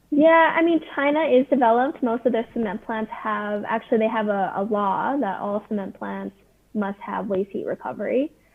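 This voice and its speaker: In a Canadian accent, a speaker uses a normal speaking voice at a moderate pace with lively intonation. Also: woman, fairly high pitch for a woman. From Canada. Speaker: startup founder pitching to investors. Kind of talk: video call pitch Q&A.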